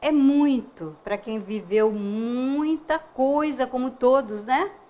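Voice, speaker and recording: Lively intonation from a woman. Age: 70s. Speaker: spiritist lecturer. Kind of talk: public lecture.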